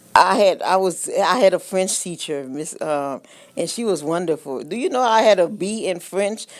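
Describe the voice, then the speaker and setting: The speaker has an American accent and keeps a moderate pace. The intonation is lively. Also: woman. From Haiti, then Los Angeles from childhood. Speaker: beauty consultant. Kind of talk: casual interview chat. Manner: hesitant, many fillers.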